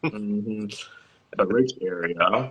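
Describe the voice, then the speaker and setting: An unremarkable speaking voice with an American accent and ordinary pitch variation. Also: man. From Virginia, Williamsburg. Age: 30s. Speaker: model. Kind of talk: casual chat.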